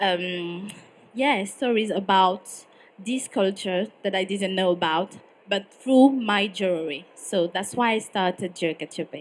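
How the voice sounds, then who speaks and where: In a French accent, a woman talks at a fairly slow pace with a medium pitch and ordinary pitch variation. The recording is very clean and the background silent. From French-speaking Switzerland. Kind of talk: panel discussion. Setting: stage with live audience. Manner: halting, many fillers.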